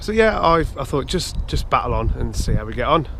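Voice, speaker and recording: Over noticeable background noise and audible room echo, a man with an English accent speaks at a moderate pace. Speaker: amateur runner and vlogger. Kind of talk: casual vlog talk to camera. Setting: outdoors at a nature reserve. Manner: hesitant, many fillers.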